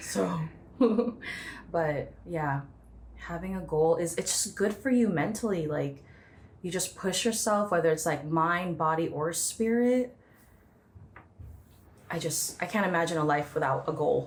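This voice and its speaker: Somewhat breathy speech at a fairly slow pace, with long, frequent pauses and ordinary pitch variation. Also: woman, fairly low pitch for a woman. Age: 20s. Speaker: cardiovascular clinic worker. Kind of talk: podcast interview answer.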